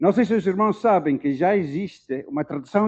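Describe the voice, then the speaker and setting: With an African accent and a dark, mellow tone, a man speaks at a fairly slow pace with ordinary pitch variation against a quiet background. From South Africa (Dutch-born, raised there). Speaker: Bible translation consultant. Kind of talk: lecture. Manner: slow, deliberate; hesitant fillers.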